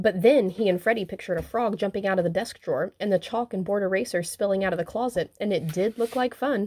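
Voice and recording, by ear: Ordinary pitch variation, with reading aloud in a natural voice.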